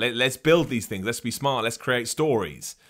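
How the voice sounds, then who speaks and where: A man with an English accent talks at a fairly quick pace. His pitch swings very widely. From England. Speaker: wrestling podcast host. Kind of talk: live-streamed solo podcast with chat questions. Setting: live stream on video platform. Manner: animated.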